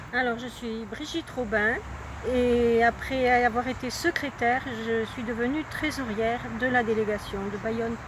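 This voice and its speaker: A woman's high voice at a fairly slow pace, fairly even intonation, with noticeable background noise. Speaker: charity volunteer treasurer. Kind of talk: interview testimony.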